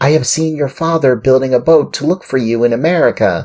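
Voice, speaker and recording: A man puts on a character voice at medium pitch. He goes at a fairly quick pace. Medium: read story.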